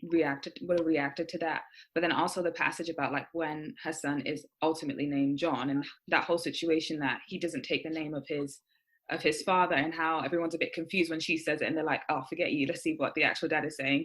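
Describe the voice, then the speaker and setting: Delivered at a very fast pace with fairly even intonation, the speech comes in an American accent on a very clean recording with a silent background. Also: woman. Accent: sounds American at times. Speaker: university student. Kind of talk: casual chat.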